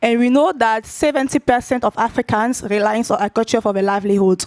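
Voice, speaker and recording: A woman's fairly high voice with a non-native accent, moderate pace and ordinary pitch variation, dry and close with no echo. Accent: Francophone. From Ivory Coast. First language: French. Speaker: tech company data lead. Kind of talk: conference talk. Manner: halting, many fillers.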